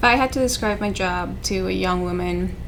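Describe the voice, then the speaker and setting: Speaking with a Spanish accent at a moderate pace, a woman is heard over noticeable background noise and audible room echo. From South America. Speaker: civil engineer. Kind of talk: interview testimony.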